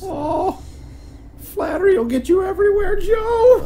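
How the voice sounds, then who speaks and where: A put-on character voice with an extremely high pitch speaks at a moderate pace over clear background noise. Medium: voice reel. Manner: falsely chipper, sad undertone.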